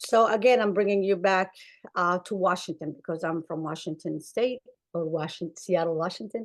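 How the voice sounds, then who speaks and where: In an Arabic accent, a woman speaks at a moderate pace with medium pitch and ordinary pitch variation over a quiet background. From Somalia. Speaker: clinician. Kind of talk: webinar panel talk. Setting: webinar.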